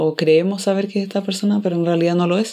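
A woman with a Chilean accent speaks in a dark, mellow tone with fairly even intonation. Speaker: podcast host. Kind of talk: casual chat.

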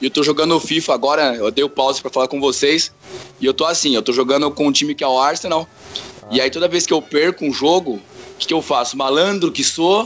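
Over noticeable background noise, a man talks very fast at a fairly high pitch with ordinary pitch variation. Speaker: teacher. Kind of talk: casual chat.

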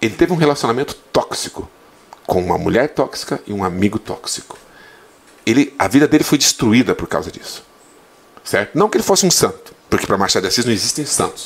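With noticeable background noise behind him, a man talks at a fairly quick pace, his pitch swinging very widely, broken by long, frequent pauses. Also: fairly high pitch for a man. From Santa Catarina, Brazil (western, gaúcho family). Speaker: Portuguese teacher. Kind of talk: casual interview chat.

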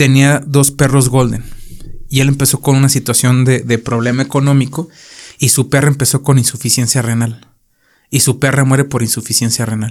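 A man's medium-pitched, monotone, flat delivery at a moderate pace, broken by long, frequent pauses. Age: 30s. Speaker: podcast host. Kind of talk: casual chat.

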